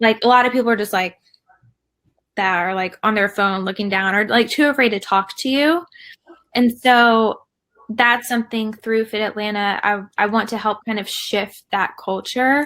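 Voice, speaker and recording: In a Southern US accent, a woman speaks at a moderate pace with a fairly high pitch, a bright, sharp tone and ordinary pitch variation. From US South. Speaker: fitness community founder. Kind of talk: casual chat.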